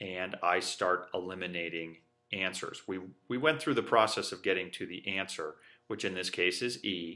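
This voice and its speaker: This man's very deep, low voice has a bright, sharp tone and ordinary pitch variation. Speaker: teacher. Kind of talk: lecture. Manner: fast.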